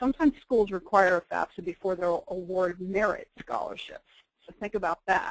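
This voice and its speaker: A woman speaks at medium pitch and a moderate pace with ordinary pitch variation, in a dry, close sound with no echo. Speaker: federal student aid presenter. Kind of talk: webinar presentation. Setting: webinar. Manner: quiet.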